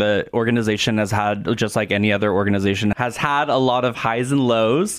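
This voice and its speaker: A man with an American accent, a plain, everyday voice, a medium pitch, ordinary pitch variation and a moderate pace. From Oregon, US Pacific Northwest. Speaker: theatre director. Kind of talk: radio interview. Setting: studio.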